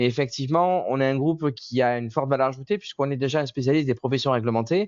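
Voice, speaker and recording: The man talks in a mid-range pitch, and his pitch moves up and down in an ordinary way. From southern France, Marseille. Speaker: software company representative. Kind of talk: webinar presentation.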